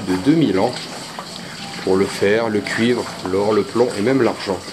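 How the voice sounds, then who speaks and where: A man speaks at a fairly low pitch with ordinary pitch variation. Noticeable background noise runs under his voice. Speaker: mine explorer narrator. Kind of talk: documentary narration. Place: tunnel cave.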